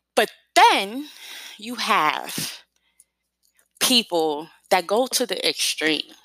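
A woman with a bright, sharp tone speaks at a very slow pace, leaving long, frequent pauses as her pitch swings very widely. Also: medium pitch for a woman. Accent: New York. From New York City. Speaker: podcast host. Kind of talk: casual solo podcast talk.

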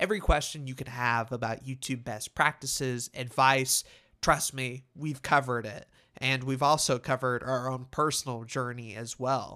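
The recording is very clean with a silent background, featuring a man at a medium pitch and a moderate pace. His tone is bright and sharp, and his intonation is fairly even. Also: big swings in loudness. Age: 20s. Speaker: podcaster. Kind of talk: solo monologue podcast. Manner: casual, conversational.

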